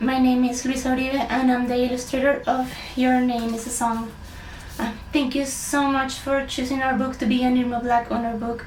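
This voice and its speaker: A high-pitched woman at a moderate pace, monotone and flat, with noticeable background noise and audible room echo. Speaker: illustrator. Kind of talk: award acceptance speech. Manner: halting, with many fillers.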